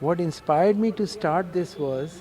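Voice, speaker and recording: Noticeable background noise surrounds a man with a high pitch. He speaks at a very slow pace with lively intonation. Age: 70s. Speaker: retired professor and cyclist. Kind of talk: interview.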